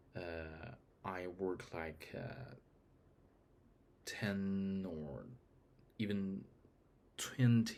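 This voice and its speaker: Speaking with a non-native accent, a man with a very deep, low pitch uses ordinary pitch variation. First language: not English. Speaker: vlogger. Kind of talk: casual monologue. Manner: halting.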